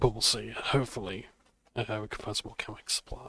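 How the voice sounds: Natural voice for reading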